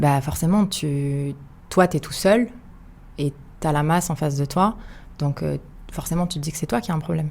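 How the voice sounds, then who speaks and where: A woman with a very deep, low, somewhat breathy voice at a moderate pace, with ordinary pitch variation and long, frequent pauses. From France, Paris suburbs. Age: 30s. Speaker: podcast guest. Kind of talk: casual interview. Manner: hesitant, many fillers.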